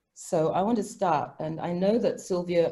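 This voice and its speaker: At a moderate pace, a woman speaks in a medium pitch, her tone dark and mellow and somewhat breathy. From Africa. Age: 60s. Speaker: professor. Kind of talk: academic panel discussion.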